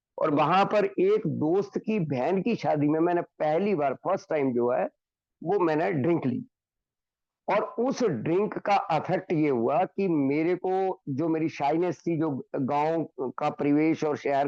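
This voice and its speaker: A man speaks at a high pitch with ordinary pitch variation and very even loudness. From Himachal Pradesh, India. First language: Hindi (speaking Telugu). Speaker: recovering alcoholic speaker. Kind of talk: recovery testimony. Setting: online meeting.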